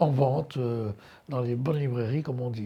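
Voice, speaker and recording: A man's somewhat breathy, medium-pitched voice at a moderate pace with lively intonation, on a very clean recording with a silent background. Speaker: art curator and lecturer. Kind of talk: lecture. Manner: hesitant, many fillers.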